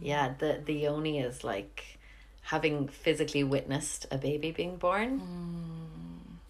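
A Cork accent at a fairly slow pace. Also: woman. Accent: Irish (Cork). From Ireland. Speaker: podcast host, yoga teacher. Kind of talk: casual interview chat. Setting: home kitchen.

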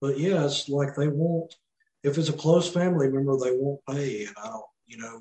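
With a Mississippi accent, a man talks at a moderate pace in a fairly high pitch, somewhat breathy, with ordinary pitch variation. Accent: Mississippi Southern. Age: 30s. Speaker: quadriplegic former police officer. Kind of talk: casual interview chat.

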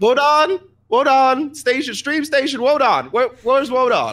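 A man uses a put-on character voice that is shrill and extremely high in pitch. He delivers it at a fairly slow pace. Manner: calling out urgently.

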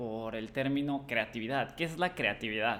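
In a Mexican accent, a man talks with ordinary pitch variation. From Mexico, Cancún. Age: 20s. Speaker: podcast host, creative studio owner. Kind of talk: solo podcast monologue. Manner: hesitant fillers.

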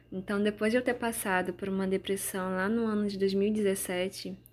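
On a very clean recording with a silent background, a woman speaks at a medium pitch and moderate pace in a monotone, flat intonation. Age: 20s. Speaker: podcaster. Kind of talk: personal testimony and devotional reflection.

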